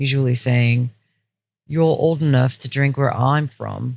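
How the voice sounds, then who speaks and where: Here a man speaks with an American accent at a medium pitch. His voice is somewhat breathy. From Pennsylvania, US. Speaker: student essayist. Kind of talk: reading aloud.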